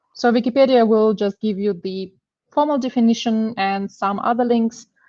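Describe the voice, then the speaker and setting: The speaker uses fairly even intonation at a moderate pace with a Russian accent. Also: woman, fairly high pitch for a woman. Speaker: machine learning engineer, conference speaker. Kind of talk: technical talk. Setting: online meetup. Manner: hesitant, many fillers.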